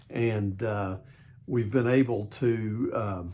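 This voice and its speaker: Fairly even intonation from a man, somewhat breathy in quality. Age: 60s. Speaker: vlogger. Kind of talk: casual vlog talk. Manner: halting, many fillers.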